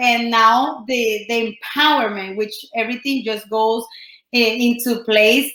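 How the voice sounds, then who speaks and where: A woman's high-pitched, bright and sharp voice with a Colombian accent, at a fairly slow pace. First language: Spanish. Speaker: entrepreneur and life coach. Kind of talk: podcast interview. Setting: studio.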